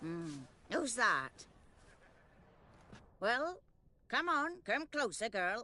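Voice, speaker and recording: In a put-on character voice with a fairly high pitch, someone speaks at a very slow pace, with very wide pitch swings and long, frequent pauses. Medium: short film. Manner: scornful, imperious.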